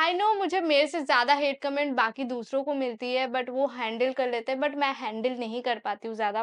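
Over a quiet background, a woman speaks in a high pitch. Her pace is fairly slow. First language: Bengali (speaking Hindi). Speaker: YouTuber / vlogger; vlogger. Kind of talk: casual Q&A vlog. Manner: hesitant, with fillers. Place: home room. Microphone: lapel.

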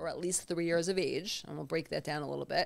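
The woman's voice sits at a fairly low pitch. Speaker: trauma therapist; podcast guest. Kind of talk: conversational, professional. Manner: fast talker. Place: home room. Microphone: studio mic.

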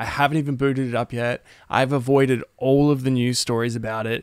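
Over a quiet background, a man talks at a moderate pace with fairly even intonation in a dry sound with no echo. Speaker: gaming streamer, music YouTuber. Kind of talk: casual stream chat. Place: home room. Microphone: studio mic.

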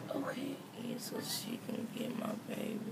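A woman mumbles at a fairly slow pace over loud background noise. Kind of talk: casual talk. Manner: groggy, slurred post-anesthesia mumble. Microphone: phone near.

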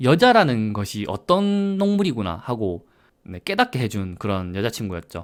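Moderate pace on a very clean recording, silent background. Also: man. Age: 30s. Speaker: vlogger. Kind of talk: casual monologue.

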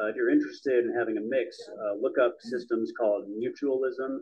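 A man speaks at a moderate speed. Little sound comes from behind him. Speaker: audience member. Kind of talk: discussion. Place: meeting room. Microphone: handheld.

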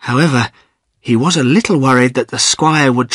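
Quiet background behind an unforced reading voice, its pitch varying in an ordinary way

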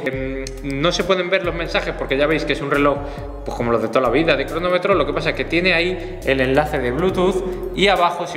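A man with ordinary pitch variation, with audible room echo and faint music in the background. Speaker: fitness vlogger. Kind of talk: casual product review vlog.

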